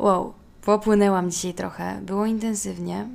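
This woman's medium-pitched voice moves along at a fairly slow pace. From Poland, Warsaw. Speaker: podcast host. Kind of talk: solo podcast monologue. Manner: conversational.

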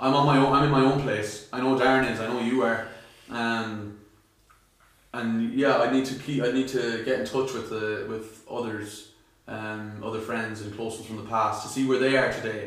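A man with an Irish accent, monotone and flat in intonation, at a moderate pace, amid noticeable background noise and audible room echo. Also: medium pitch for a man. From Ireland. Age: 20s. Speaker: aspiring musician. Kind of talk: casual chat.

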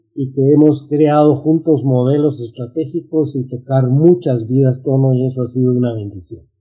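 A man speaks at a fairly slow pace in a fairly high pitch. His voice is somewhat breathy, with fairly even intonation. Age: 60s. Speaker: business coach. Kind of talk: interview.

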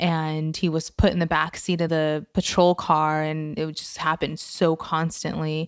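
A woman's very deep, low voice, monotone and flat, at a fairly slow pace with hardly any pauses, in a very clean recording with a silent background. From immigrant to the US. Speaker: podcast host. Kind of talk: interview.

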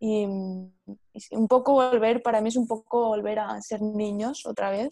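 In a Spanish accent, a woman speaks with a fairly high pitch and a dark, mellow tone, the sound dry and close with no echo. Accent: Peninsular Spanish. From Spain. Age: 20s. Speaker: podcast co-host. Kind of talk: casual chat.

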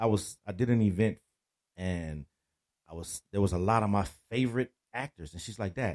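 A man speaks at a moderate pace with a fairly low pitch and ordinary pitch variation, in a dry, close sound with no echo. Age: 50s. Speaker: DJ and business owner. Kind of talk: casual interview chat.

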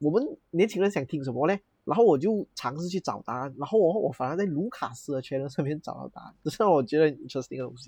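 A man's fairly high, somewhat breathy voice at a very fast pace, hardly any pauses, and big swings in loudness. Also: lively intonation, dry, close sound with no echo, quiet background. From Malaysia. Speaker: podcast co-host. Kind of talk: casual chat.

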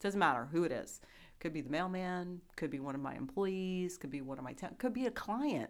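With an American accent, the speaker moves at a fairly quick pace through very wide pitch swings. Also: woman, fairly low pitch for a woman. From New Jersey. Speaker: staffing recruiter. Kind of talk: podcast interview. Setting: studio.

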